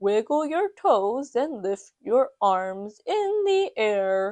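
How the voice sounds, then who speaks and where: A woman performs a put-on character voice at a fairly high pitch, moving very slowly with very wide pitch swings. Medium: read story. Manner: warm, encouraging.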